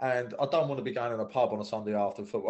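This is a man speaking. He talks with a southeast English accent. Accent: south-east English. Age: 30s. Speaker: former footballer. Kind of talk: casual chat.

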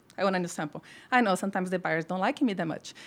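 She speaks with a Brazilian accent. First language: Portuguese. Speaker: formulation pharmacist. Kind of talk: casual interview.

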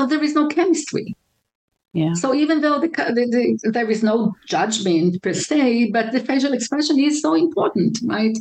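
With an Israeli accent, a woman speaks at a moderate pace in a high pitch that swings very widely while her loudness stays very even. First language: Hebrew. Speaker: relationship counselor. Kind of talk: interview. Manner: halting, many fillers.

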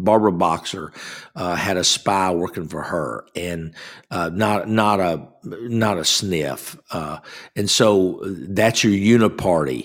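A man with a Southern US accent speaks with ordinary pitch variation on a very clean recording with a silent background. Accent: US South. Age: 60s. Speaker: guest radio host. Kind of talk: political talk show monologue. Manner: halting, many fillers.

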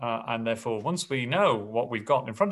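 This man talks at a moderate pace with lively intonation. He has a slight English accent. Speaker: school principal.

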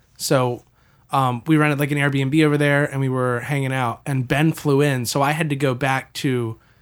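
A man with a medium-pitched, ordinary speaking voice talks at a moderate pace with fairly even intonation on a very clean recording with a silent background. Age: 20s. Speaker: college student and audio-video producer. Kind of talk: casual chat.

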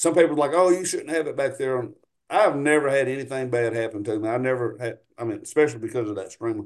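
A man with a Louisiana accent speaks at a very fast pace. His pitch is medium, with ordinary variation. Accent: US South, Louisiana. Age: 40s. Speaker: paramotor pilot and flight instructor. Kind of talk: casual chat.

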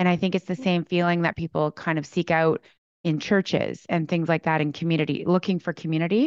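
A woman with a plain, everyday voice, fairly low and fairly quick, with fairly even intonation, very even loudness and a dry, close sound with no echo. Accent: Canadian. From rural Alberta, Canada. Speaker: entrepreneur. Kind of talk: casual chat.

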